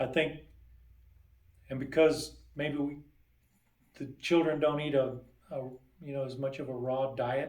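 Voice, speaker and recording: Amid audible room echo, a man talks at a fairly slow pace with a fairly high pitch, monotone, flat intonation, big swings in loudness and long, frequent pauses. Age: 60s. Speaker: dentist. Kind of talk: interview. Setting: sit-down interview. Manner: casual, relaxed.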